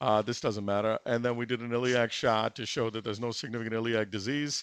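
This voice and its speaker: In a very clean recording with a silent background, a man talks at a very fast pace. His intonation is monotone and flat. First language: not English. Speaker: interventional cardiologist performing a live case. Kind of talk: live case commentary. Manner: halting, many fillers.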